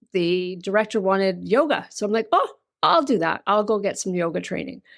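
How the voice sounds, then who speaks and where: A woman talks with a slight Canadian accent, recorded very cleanly against a silent background. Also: medium pitch for a woman, ordinary pitch variation, fairly quick pace. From Canada. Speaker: yoga teacher and yoga therapist. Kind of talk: interview conversation.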